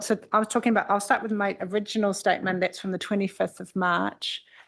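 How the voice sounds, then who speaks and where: In a New Zealand accent, a woman talks very fast at a medium pitch. Her intonation is monotone and flat against a quiet background. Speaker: expert witness on air quality. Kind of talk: formal hearing testimony.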